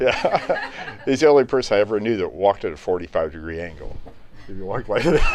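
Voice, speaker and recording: A man talks very fast while noticeable background noise carries on behind him. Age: 70s. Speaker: piano company executive. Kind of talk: informal talk to live audience. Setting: live event on a boat with audience.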